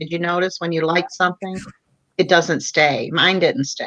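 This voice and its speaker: With an American accent, a woman speaks at a moderate pace in a medium-pitched voice with a bright, sharp tone. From Michigan. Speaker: livestream host, pastor's wife. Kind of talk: casual livestream chat.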